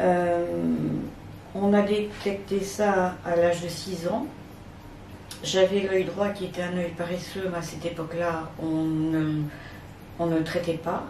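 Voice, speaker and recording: Amid audible room echo and noticeable background noise, a woman speaks very slowly at a fairly low pitch, monotone and flat, with long, frequent pauses. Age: 60s. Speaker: retired teacher with visual impairment. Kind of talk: testimony. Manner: hesitant, many fillers.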